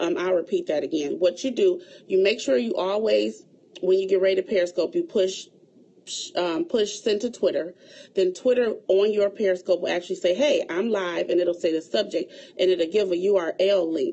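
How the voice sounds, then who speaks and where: At a moderate pace, a woman speaks in an unremarkable speaking voice with a medium pitch. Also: ordinary pitch variation. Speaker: event planner. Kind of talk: livestream tutorial.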